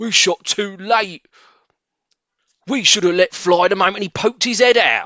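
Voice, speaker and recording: Using a put-on character voice, a man speaks in a high pitch at a moderate pace. Long, frequent pauses break up his delivery. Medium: read story. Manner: gruff.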